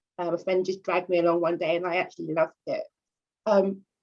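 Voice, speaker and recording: A woman speaks with a London accent. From North London. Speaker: journalist and editor. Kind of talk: interview.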